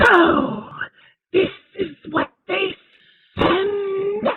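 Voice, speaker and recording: A put-on character voice at an extremely high pitch, with hissing. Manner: menacing, mocking.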